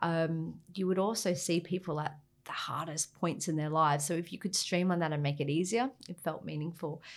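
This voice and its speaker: At a fairly quick pace, a woman with an Australian accent speaks in a fairly low pitch with fairly even intonation, on a very clean recording with a silent background. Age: 40s. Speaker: government maritime director. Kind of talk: interview.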